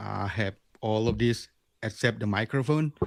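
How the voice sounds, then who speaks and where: The speaker talks at a fairly slow pace with an Indonesian accent. Pitch varies in an ordinary way. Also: man. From Bali, Indonesia. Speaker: lure maker. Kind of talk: interview. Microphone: new microphone.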